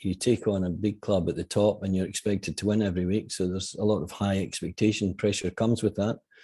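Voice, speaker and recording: A man with a Scottish accent speaks quickly enough, at a fairly quick pace, in a fairly low, dark, mellow tone with fairly even intonation against a quiet background. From Scotland. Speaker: football manager. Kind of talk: interview.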